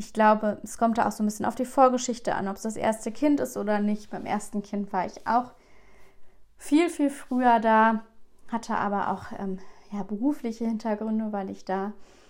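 A woman talks at a moderate pace with a fairly high pitch. Her pitch varies in an ordinary way. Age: 20s. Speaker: podcast host and family counselor. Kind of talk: personal monologue. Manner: hesitant, many filler sounds.

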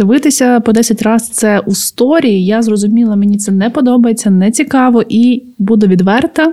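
At a fairly high pitch, a woman with a dark, mellow tone speaks at a moderate pace with hardly any pauses, ordinary pitch variation and very even loudness. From Ukraine, Podillia (Khmelnytskyi area). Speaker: podcast co-host. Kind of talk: casual chat.

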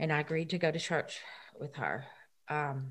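In a Southern US accent, a woman with a very deep, low pitch speaks somewhat breathily at a fairly slow pace, her intonation monotone and flat, on a very clean recording with a silent background. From Tennessee. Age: 50s. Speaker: recovered addict and church volunteer. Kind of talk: testimony. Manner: halting.

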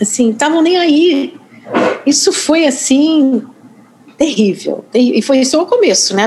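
A woman with a Rio de Janeiro accent speaks very slowly in a high voice, her pitch swinging very widely while her loudness stays very even, over noticeable background noise. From US Northeast. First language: English (speaking Portuguese). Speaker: journalist and author. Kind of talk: interview. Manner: hesitant, many fillers.

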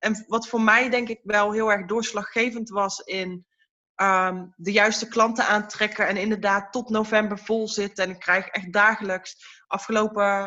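A woman with a fairly high pitch speaks at a fairly slow pace in a monotone, flat intonation. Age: 30s. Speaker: card reader. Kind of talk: podcast interview.

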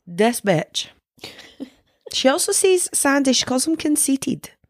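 On a very clean recording with a silent background, a woman speaks at a fairly slow pace with a Scottish accent, the sound dry and close with no echo. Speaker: podcast co-host. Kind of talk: casual chat.

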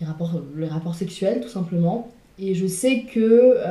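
A woman's somewhat breathy voice, medium in pitch and dark and mellow in tone, moves at a fairly slow pace with ordinary pitch variation. Audible room echo surrounds it. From France, Sarthe (Le Mans). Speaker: interview guest. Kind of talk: casual chat.

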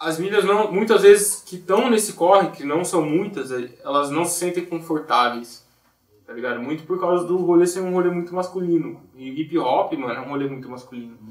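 This man's voice sits high in pitch, with ordinary variation. He talks at a moderate pace. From Brazil, Campinas (São Paulo state). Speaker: music producer. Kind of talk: casual chat.

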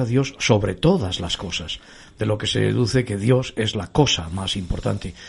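Somewhat breathy, a man speaks at a fairly low pitch and a moderate pace, with lively intonation. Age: 50s. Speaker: pastor and radio host. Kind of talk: religious radio talk show.

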